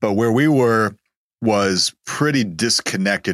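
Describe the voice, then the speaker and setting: With ordinary pitch variation, a man speaks in an American accent on a very clean recording with a silent background. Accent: East Texas, cleaned up, slight. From East Texas. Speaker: guest, business entrepreneur. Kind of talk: podcast interview, faith-based talk.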